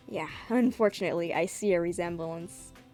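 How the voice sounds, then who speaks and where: A woman's voice with music in the background. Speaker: webcomic artist. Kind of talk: dramatic comic reading with commentary.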